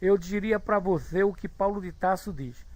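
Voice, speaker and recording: A man speaks with a high pitch. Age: 60s. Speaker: spiritist lecturer. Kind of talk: online study group talk, reading chat comments. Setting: live online video room.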